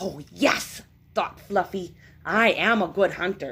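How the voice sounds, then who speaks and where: A woman puts on a character voice at medium pitch and speaks at a fairly slow pace. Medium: read story. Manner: cheerful, eager.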